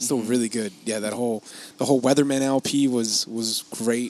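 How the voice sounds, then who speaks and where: A man speaks with a medium-pitched voice. His pace is moderate and his pitch varies in an ordinary way. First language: Spanish. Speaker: podcast host. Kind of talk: casual chat. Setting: outdoor patio of a coffee shop.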